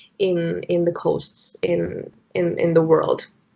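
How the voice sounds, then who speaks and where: A woman speaks with a Spanish accent at a fairly low pitch. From Mexico City, Mexico. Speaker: entrepreneur, founder of eco-friendly brand. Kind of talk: business pitch discussion on video call. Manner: hesitant, many fillers.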